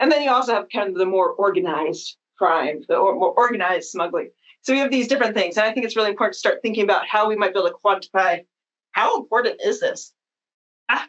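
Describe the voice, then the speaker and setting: At a very fast pace, a woman talks with a fairly high pitch. Her intonation is lively. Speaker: academic researcher. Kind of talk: conference talk. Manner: casual with fillers.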